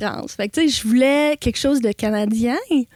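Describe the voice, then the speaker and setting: High, woman's voice with ordinary pitch variation. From Ontario, Canada. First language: English (speaking French). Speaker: animal sanctuary owner. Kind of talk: interview.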